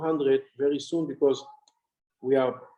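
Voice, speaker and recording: A man with an Israeli accent talks at a moderate pace in a dark, mellow tone. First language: Hebrew. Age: 60s. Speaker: honorary consul and farming businessman. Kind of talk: interview.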